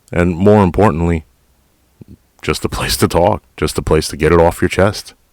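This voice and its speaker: With an American accent and vocal fry, this speaker moves at a moderate pace with ordinary pitch variation and long, frequent pauses, the sound dry and close with no echo. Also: man, very deep, low pitch for a man. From New York City, Queens. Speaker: podcast host, retired police officer. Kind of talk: casual monologue. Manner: direct.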